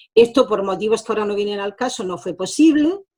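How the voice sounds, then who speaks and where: A plain, everyday voice with lively intonation. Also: woman. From France, born in Granada. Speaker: social educator and mediator. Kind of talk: interview testimony. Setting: video call.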